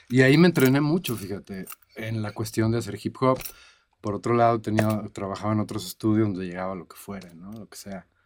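Loudness jumps up and down sharply as this man speaks at a fairly brisk clip. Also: fairly low pitch for a man, ordinary pitch variation. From Mexico, Cancún. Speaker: music producer and mixing engineer. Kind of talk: interview. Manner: halting, repeats words.

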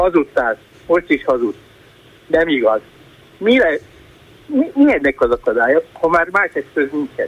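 A high-pitched man speaks at a fairly slow pace with long, frequent pauses and very wide pitch swings, the sound dry and close with no echo. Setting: phone call.

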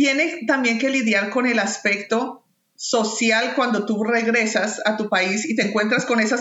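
There is audible room echo as a woman speaks at a fairly high pitch. She keeps a moderate pace with hardly any pauses. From Colombia, Bogotá. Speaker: peace worker and migrant. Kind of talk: casual chat.

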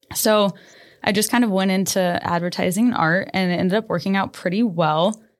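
Speaking with a Midwestern US accent at a fairly quick pace, this voice keeps a very even loudness and ordinary pitch variation on a very clean recording with a silent background. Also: woman, medium pitch for a woman. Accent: US Midwest. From Nebraska. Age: 20s. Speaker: boutique owner. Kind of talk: casual interview.

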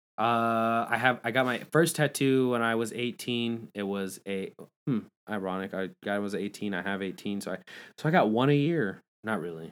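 A man speaks in a plain, everyday voice at a medium pitch and a moderate pace. His pitch varies in an ordinary way, on a very clean recording with a silent background. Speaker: podcast host. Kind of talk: casual chat. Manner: casual, chatty, joking.

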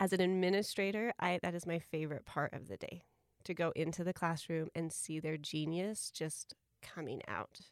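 In an ordinary speaking voice, a woman talks at a moderate pace with a fairly low pitch and ordinary pitch variation, the sound dry and close with no echo. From small-town US. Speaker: school administrator. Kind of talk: casual interview chat.

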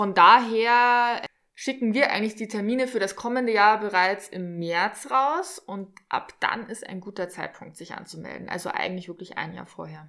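With a normal speaking voice, a woman speaks at a medium pitch and a moderate pace, with ordinary pitch variation and big swings in loudness. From Regensburg, Germany. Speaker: dive instructor. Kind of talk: casual interview. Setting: on location by a lake.

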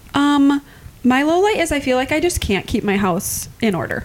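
Lively intonation carries the speech at a fairly slow pace. Noticeable background noise sits behind it. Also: woman. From Iowa. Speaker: podcast co-host. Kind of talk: casual chat.

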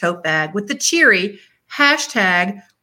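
Over a quiet background, someone reads in a natural reading voice.

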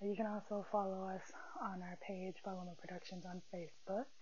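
Audible room echo surrounds a woman speaking with an American accent. She keeps a moderate pace. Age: 20s. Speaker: podcast host. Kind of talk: casual chat. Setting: in bed.

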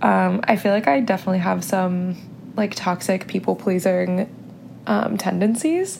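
A woman with an American accent at a moderate pace, her loudness very even, against noticeable background noise. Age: 20s. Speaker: podcast host. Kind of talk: casual solo monologue. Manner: chatty, filler-heavy.

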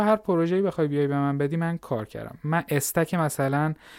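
A man with a fairly high pitch at a very fast pace, in a dry, close sound with no echo and a very clean recording against a silent background. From Iran, Fars province (Larestan). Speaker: Python programmer and startup founder. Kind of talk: podcast interview.

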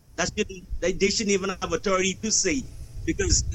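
A man rushes along at a very fast pace in a high, monotone, flat voice. Noticeable background noise is present. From Bahamas. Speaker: podcast guest. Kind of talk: casual chat.

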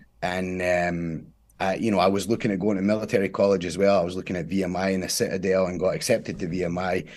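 A man with a Scottish accent talks very fast in a very deep, low voice, his intonation flat and monotone. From Scotland. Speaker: former Marine and jujitsu champion. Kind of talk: casual interview.

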